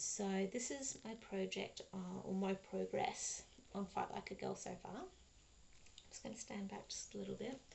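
With an Australian accent, a woman speaks at a fairly slow pace with hardly any pauses. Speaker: cross stitch vlogger; crafting vlogger. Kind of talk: casual vlog monologue; casual vlog chat. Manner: hesitant, many fillers. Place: home room. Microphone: webcam.

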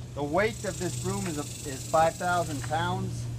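Very slow male speech against noticeable background noise. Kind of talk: product walk-around commentary. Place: street. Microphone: phone near.

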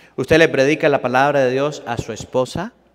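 A man talks at a fairly quick pace with a fairly high pitch and ordinary pitch variation over a quiet background. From Venezuela. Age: 30s. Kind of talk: sermon. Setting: church. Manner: animated. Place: church.

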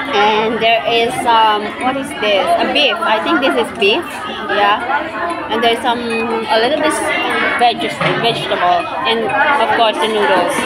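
With clear music in the background, a woman speaks at a fairly slow pace, taking long, frequent pauses. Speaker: vlogger. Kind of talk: casual vlog chat. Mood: cheerful, amused. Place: cafe. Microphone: phone near.

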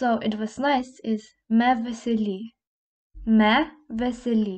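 A woman speaks with a Slovene accent. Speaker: language teacher. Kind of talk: tutorial.

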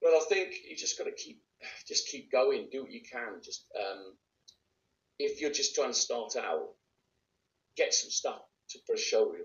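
A man speaks at a moderate pace in a Welsh accent. His loudness swings widely, and the room echo is audible. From Wales, Bridgend; Wales. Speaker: actor; actor being interviewed. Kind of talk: interview; interview answer. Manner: casual, with hesitations. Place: home room. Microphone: phone near.

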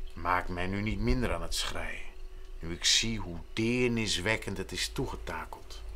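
At a very slow pace, a man speaks over light background noise. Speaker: actor. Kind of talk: literary reading. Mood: solemn, measured storytelling.

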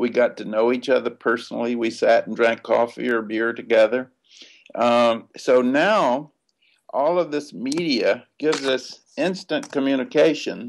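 A man with a Southern US accent, speaking at a fairly slow pace with ordinary pitch variation over light background noise. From US South. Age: 70s. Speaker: civil rights activist. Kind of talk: interview. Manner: halting. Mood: animated, smiling, reflective. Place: home room. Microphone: webcam.

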